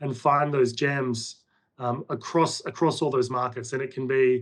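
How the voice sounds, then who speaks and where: This man speaks with an Australian accent. His pace is moderate, with ordinary pitch variation. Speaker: portfolio manager. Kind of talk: interview.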